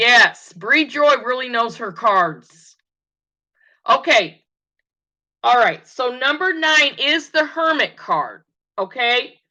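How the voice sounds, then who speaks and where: Projecting her high voice in a bright, sharp tone, a woman speaks at a very slow pace with very wide pitch swings and long, frequent pauses against a quiet background. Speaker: tarot reader. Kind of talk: tutorial. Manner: halting.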